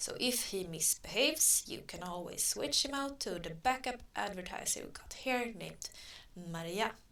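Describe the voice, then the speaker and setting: The voice has a non-native accent and a bright, sharp tone. Its pitch swings very widely and its loudness rises and falls a lot. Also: woman, medium pitch for a woman. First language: not English. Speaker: online advertising tutor. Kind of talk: tutorial. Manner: slow; halting.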